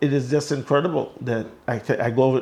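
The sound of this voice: A man talks at a fast pace, his slightly mellow voice having a slightly husky edge and fairly even intonation. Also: medium pitch for a man.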